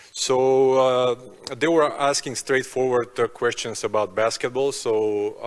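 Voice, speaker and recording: At a moderate pace, a man with a Macedonian accent speaks at medium pitch with fairly even intonation. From North Macedonia. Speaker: basketball player. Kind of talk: panel discussion.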